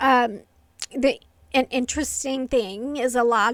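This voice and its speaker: A woman is speaking. Her intonation stays flat and monotone. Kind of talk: casual talk to camera. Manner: quiet, hard to hear; hesitant, many fillers.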